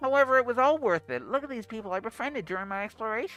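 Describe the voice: A fairly high, put-on character voice races at a very fast pace over faint music in the background.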